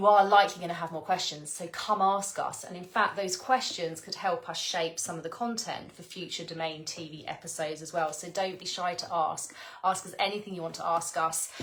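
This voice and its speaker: A woman's fairly low, fairly quick voice with hardly any pauses, fairly even intonation, big swings in loudness and noticeable background noise. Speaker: spiritual teacher. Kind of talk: live stream talk. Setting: live video stream. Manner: stuttering a bit; warm, effusive.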